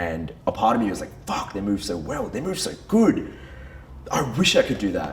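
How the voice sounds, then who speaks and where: His tone comes across as animated. The man talks at a moderate pace. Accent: Tamil. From Brunei and Western Australia. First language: Tamil. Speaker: men's group leader. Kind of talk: personal testimony. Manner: casual, animated.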